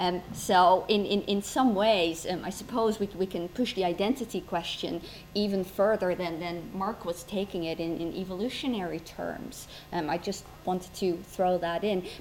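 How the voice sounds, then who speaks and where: Holding a medium pitch, a woman with a non-native accent speaks with fairly even intonation. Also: moderate pace. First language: not English. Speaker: historian and debate chair. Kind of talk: moderating a debate. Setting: stage with audience. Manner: hesitant.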